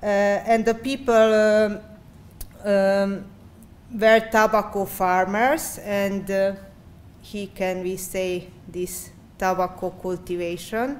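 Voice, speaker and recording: A woman with a Hungarian accent speaks at a medium pitch with fairly even intonation, very slowly and with long, frequent pauses. Audible room echo can be heard. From Great Szeged region, Hungary/Serbia border. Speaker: architecture researcher. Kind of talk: conference presentation. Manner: halting, many fillers.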